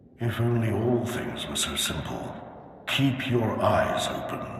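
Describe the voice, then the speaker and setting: Over clear background noise and a strong echo, a man does a put-on character voice at a medium pitch and a fairly slow pace. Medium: machinima. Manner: solemn, commanding.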